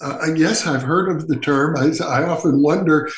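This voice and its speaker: A man with an American accent talks at a moderate pace in a fairly high pitch with ordinary pitch variation, with noticeable background noise and audible room echo. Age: 70s. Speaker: parapsychologist. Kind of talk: interview.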